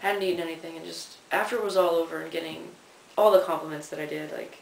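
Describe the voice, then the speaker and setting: A man with an American accent at a fairly quick pace, amid audible room echo and noticeable background noise. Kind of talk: casual video diary. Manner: casual, lots of fillers.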